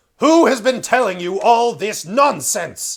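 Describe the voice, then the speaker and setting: In a put-on character voice, a man talks fairly slowly at an extremely high pitch. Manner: angry, commanding.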